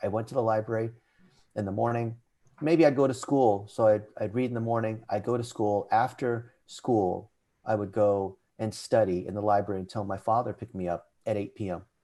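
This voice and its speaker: A man with an American accent talks at a fairly quick pace in a dark, mellow tone with fairly even intonation. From California, US. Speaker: digital marketing CEO. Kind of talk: podcast interview, personal story.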